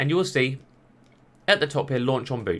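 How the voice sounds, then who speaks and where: A man with a medium-pitched voice, recorded very cleanly against a silent background. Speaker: tech YouTuber. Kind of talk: tutorial. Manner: fast.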